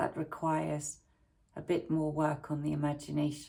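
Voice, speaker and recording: Delivered in an English accent, the speech moves at a fairly slow pace. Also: woman. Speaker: YouTuber and primary school teacher. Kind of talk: casual talk to camera. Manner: hesitant, many fillers.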